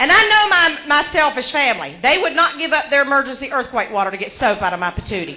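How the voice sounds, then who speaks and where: Very fast and with hardly any pauses, a woman with an American accent speaks in a raised, projected, animated voice, high in pitch with very wide pitch swings, amid audible room echo and noticeable background noise. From Georgia, US South. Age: 40s. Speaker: comedian. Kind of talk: stand-up. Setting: stage with audience.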